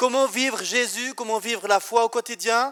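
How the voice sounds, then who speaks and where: A man with a Swiss accent speaks at a high pitch with fairly even intonation. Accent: Neuchâtel Swiss French. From Switzerland, Neuchâtel canton (Val de Travers). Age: 30s. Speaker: pastor. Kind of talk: testimony.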